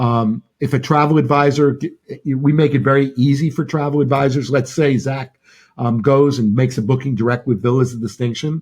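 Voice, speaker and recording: A man's somewhat breathy, medium-pitched voice at a fairly quick pace, with fairly even intonation. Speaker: travel company executive. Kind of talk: interview. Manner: halting.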